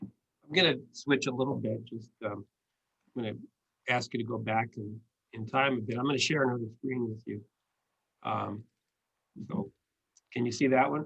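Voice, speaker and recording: This man has a medium pitch and vocal fry, with ordinary pitch variation. He speaks at a moderate pace broken by long, frequent pauses. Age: 60s. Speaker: attorney and interview host. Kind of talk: interview.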